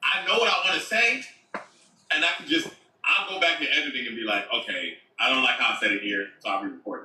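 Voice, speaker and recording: A man talks at a very fast pace with big swings in loudness. Audible room echo surrounds his voice. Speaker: content creator. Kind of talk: casual chat.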